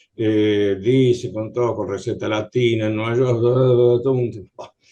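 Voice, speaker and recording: Speaking very slowly in a flat monotone, the man has a medium pitch and a dark, mellow tone. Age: 70s. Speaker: patient. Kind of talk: audience question. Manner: halting.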